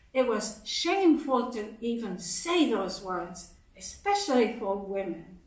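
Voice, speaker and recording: A woman with a fairly high pitch and lively intonation speaks at a very slow pace against noticeable background noise. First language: Japanese. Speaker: speaker at a congregation service. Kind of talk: sermon.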